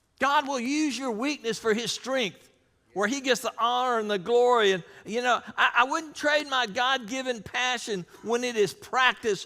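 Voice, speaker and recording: A man projects a raised voice at an extremely high pitch and a moderate pace, his tone bright and sharp, in a very clean recording with a silent background. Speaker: pastor. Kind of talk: sermon.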